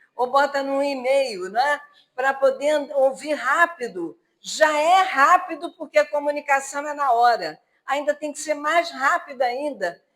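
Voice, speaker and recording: A woman speaks with a high pitch at a fairly slow pace. Her pitch varies in an ordinary way. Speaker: spiritist lecturer. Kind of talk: religious lecture. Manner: halting.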